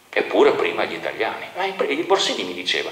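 A man's low voice at a fast pace, very wide pitch swings and strong room echo. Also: fairly bright tone.

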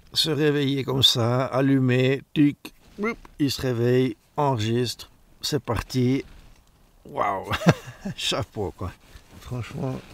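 With long, frequent pauses, a man talks at a very slow pace, his pitch varying in an ordinary way, the sound dry with no echo. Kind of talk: casual vlog chat. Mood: enthusiastic, pleased. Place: tent. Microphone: phone near.

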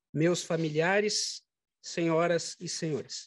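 In a dry sound with no echo, a man speaks with high pitch and fairly even intonation. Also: quiet background. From Santa Catarina, Brazil (Tubarão); Santa Catarina, Brazil. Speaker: judge. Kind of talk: formal inauguration speech. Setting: courtroom ceremony with audience. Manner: formal. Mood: solemn, grateful. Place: hall. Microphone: podium.

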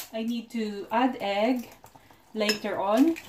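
A woman's fairly high voice, with ordinary pitch variation, comes through noticeable background noise. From Philippines. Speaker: vlogger. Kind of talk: cooking vlog narration.

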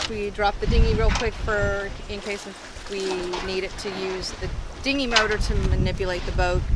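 Loud background noise surrounds a woman speaking at a moderate pace. The sound is dry with no echo. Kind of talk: casual vlog chat. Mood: relieved, lightly rueful. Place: boat. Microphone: camera far.

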